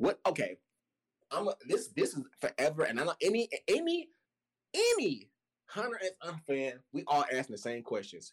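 A man talks at a moderate pace with long, frequent pauses. The sound is dry and close, with no echo. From US South, Chattanooga, Tennessee. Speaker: musician and podcast guest. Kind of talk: casual chat.

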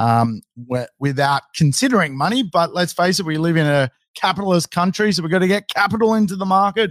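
A man with an Australian accent speaks at a moderate pace, making very wide pitch swings, in a dry, close sound with no echo. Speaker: real estate educator, livestream host. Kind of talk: casual livestream Q&A.

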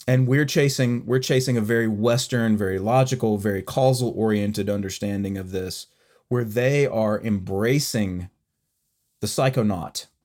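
In a very clean recording with a silent background, a man talks at a moderate pace in a medium pitch with ordinary pitch variation, an unremarkable speaking voice. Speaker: podcast co-host. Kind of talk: casual conversational discussion.

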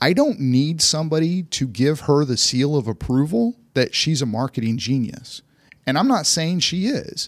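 This man has an unremarkable speaking voice, pitched fairly high, with lively intonation. He talks at a moderate pace. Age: 50s. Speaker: investment firm chief investment officer. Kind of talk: casual chat. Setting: studio.

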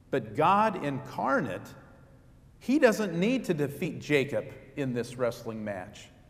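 Somewhat breathy and fairly high-pitched, a man speaks at a very slow pace with very wide pitch swings and audible room echo. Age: 50s. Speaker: pastor. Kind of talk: sermon.

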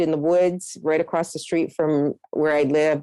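Her fairly low voice has a dark, mellow tone and fairly even intonation, with a dry, close sound and no echo. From Nova Scotia, Canada. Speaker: forest therapy guide. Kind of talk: interview.

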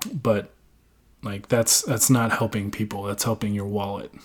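A man is speaking. His pace is moderate. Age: 20s. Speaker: sports podcast host. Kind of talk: casual solo podcast monologue. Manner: halting, many fillers.

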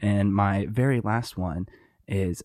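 On a very clean recording with a silent background and a dry, close sound with no echo, a man with an unremarkable speaking voice speaks at a fairly low pitch with fairly even intonation. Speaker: podcast host. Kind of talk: casual chat.

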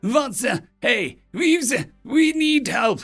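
A man's put-on character voice at an extremely high pitch, with a fairly bright tone, lively intonation and a slow pace over faint background music

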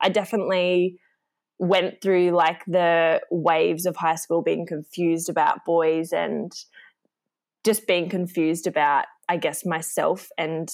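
In a very clean recording with a silent background, a woman speaks at a fairly slow pace with an Australian accent. Her pitch is fairly low, and her intonation is monotone and flat. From Australia, rural northern New South Wales. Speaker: marketing employee. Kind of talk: interview.

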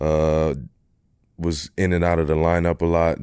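A man with a Philadelphia accent speaks with a very deep, low pitch in a monotone, flat intonation. The recording is very clean, with a silent background. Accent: Philadelphia American. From US, Philadelphia. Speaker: professional basketball player. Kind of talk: casual interview.

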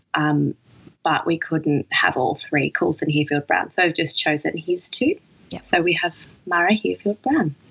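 A woman with an Australian accent talks at a moderate pace, the sound dry and close with no echo. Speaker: dancer and new mother. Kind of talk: casual chat. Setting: recorded late at night.

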